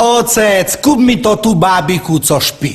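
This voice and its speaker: A man with an eastern Slovak accent at a high pitch, very wide pitch swings and a very slow pace, over noticeable background noise. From eastern Slovakia. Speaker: comic storyteller. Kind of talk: humorous monologue to an audience.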